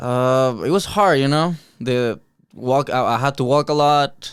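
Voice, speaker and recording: In a very clean recording with a silent background, a man with a Mexican accent speaks with fairly even intonation. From Mexico, Cuernavaca, Morelos. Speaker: martial arts fighter. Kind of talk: interview. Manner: halting.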